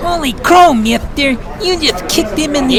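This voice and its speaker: Someone talks at a moderate pace in a put-on character voice. Loud background noise runs underneath. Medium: audio drama. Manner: folksy, amazed.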